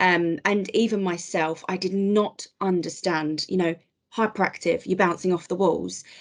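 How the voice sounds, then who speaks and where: A woman speaks with an unremarkable speaking voice. Her pitch is medium and her pace moderate. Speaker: HR advisor with ADHD, podcast guest. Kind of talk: podcast interview.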